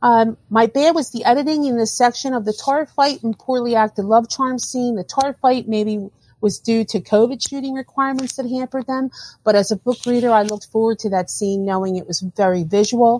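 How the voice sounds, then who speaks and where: A woman with a dark, mellow tone and fairly high pitch at a fairly quick pace with ordinary pitch variation, in a dry, close sound with no echo. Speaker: listener leaving voicemail. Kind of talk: voicemail review.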